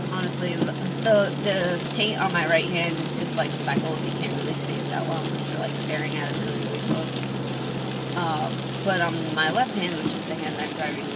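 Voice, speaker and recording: A woman talking with hardly any pauses over loud background noise. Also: moderate pace. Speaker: vlogger. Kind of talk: casual vlog chat. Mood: relaxed, mildly annoyed at rain. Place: car. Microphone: phone near.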